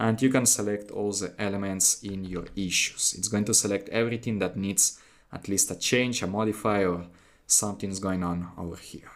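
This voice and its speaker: On a very clean recording with a silent background, a man speaks at a moderate pace with a fairly low pitch. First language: not English. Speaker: software tutorial instructor. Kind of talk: tutorial. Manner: halting, with fillers and false starts.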